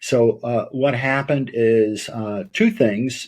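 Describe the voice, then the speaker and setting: A man speaks with fairly even intonation. The recording is very clean, with a silent background. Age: 60s. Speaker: lawyer and mental health advocate. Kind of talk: interview testimony. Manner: hesitant with many fillers.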